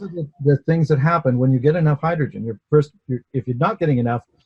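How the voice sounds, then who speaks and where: Dark and mellow in tone, a man speaks fairly quickly and somewhat breathily with ordinary pitch variation, in a dry, close sound with no echo. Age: 60s. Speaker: inventor. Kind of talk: interview testimony. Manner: hesitant, with repetitions.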